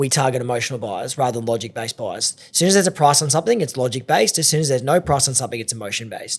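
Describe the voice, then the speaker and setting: Lively intonation marks a man speaking in an Australian accent. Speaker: auctioneer. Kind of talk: podcast interview. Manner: fast.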